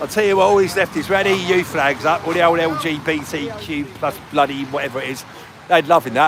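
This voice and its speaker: With a Cockney accent, a man talks at a fairly quick pace in a fairly high voice with ordinary pitch variation, over noticeable background noise. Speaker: livestreamer. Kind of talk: casual livestream chat. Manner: casual, conversational.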